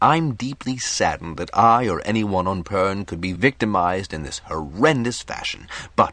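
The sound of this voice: Someone reads in an unforced voice.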